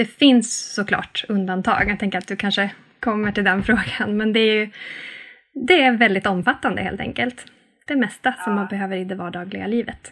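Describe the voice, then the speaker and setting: Using an ordinary speaking voice, a woman of medium pitch talks at a moderate pace with fairly even intonation. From northern Sweden (Norrbotten, Arvidsjaur). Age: 30s. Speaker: sustainable-living influencer, mother of three. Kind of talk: interview conversation.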